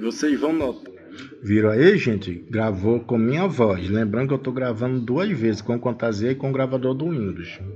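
Music plays in the background as a man talks at a moderate pace with medium pitch and ordinary pitch variation. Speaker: tech tutorial youtuber. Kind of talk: tutorial. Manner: casual.

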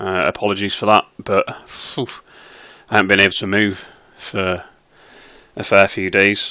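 A man with a British accent and fairly low pitch, moderate pace with long, frequent pauses, on a very clean recording with a silent background. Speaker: slot streamer. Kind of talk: casual commentary to camera. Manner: hesitant, with filler sounds.

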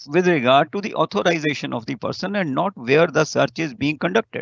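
Speaking in an Indian accent, a man has a fairly high pitch. The background is quiet and the sound dry, with no echo. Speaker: law faculty lecturer. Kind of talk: lecture. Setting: video call. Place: office. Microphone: webcam.

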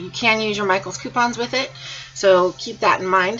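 Someone with an American accent speaks at a moderate pace with ordinary pitch variation over light background noise. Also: woman. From Iowa, US Midwest. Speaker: craft YouTuber. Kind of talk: tutorial. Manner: casual, filler-heavy. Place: home room. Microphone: webcam.

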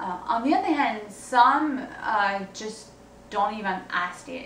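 A woman speaks very slowly at a fairly high pitch with ordinary pitch variation. Audible room echo and light background noise are present. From France. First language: French. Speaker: singer-songwriter. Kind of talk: video blog monologue. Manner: hesitant, many fillers. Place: home room. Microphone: camera far.

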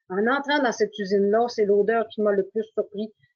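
Over a quiet background, a woman speaks at a moderate pace and fairly high pitch with fairly even intonation. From Quebec. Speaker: mill team leader; webinar panelist. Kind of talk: webinar presentation. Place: home room. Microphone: video call.

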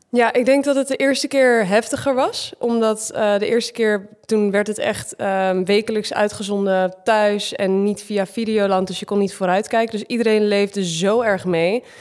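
This is a normal speaking voice at a moderate pace with fairly even intonation. There are hardly any pauses. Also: woman, fairly high pitch for a woman. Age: 20s. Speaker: reality TV contestant and gym owner. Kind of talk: casual chat.

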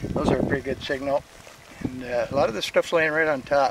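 Noticeable background noise surrounds a man speaking at a moderate pace, the sound dry with no echo. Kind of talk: casual vlog commentary. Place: open country. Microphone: phone near.

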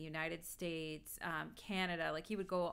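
Speaking at a fairly slow pace, a woman has a fairly low pitch, a bright, sharp tone and fairly even intonation. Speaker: astrologer streamer. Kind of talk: live stream lecture chat.

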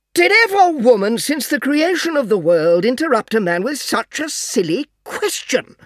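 Strained and fairly high, a put-on character voice runs at a moderate pace with very wide pitch swings and hardly any pauses. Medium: read story. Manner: exasperated but restrained, sarcastic.

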